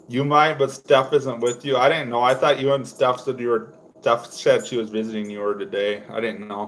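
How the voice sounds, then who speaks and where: A man's medium-pitched voice at a moderate pace, with ordinary pitch variation, hardly any pauses and noticeable background noise. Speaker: fishing livestreamer. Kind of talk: casual chat. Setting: livestream. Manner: loud.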